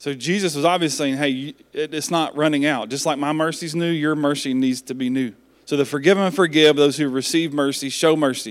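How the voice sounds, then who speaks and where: On a very clean recording with a silent background, a man with an ordinary speaking voice talks fairly quickly and fairly high, with fairly even intonation and hardly any pauses. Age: 40s. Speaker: pastor. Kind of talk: sermon. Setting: church.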